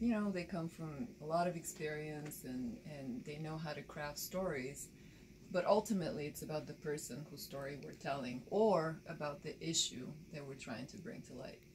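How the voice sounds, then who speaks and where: A woman speaks in a very deep, low pitch with a Bulgarian accent. Her intonation is lively, and her loudness swings widely. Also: moderate pace. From Bulgaria, rural village; moved to Baltimore at 13. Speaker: documentary filmmaker and photojournalist. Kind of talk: interview.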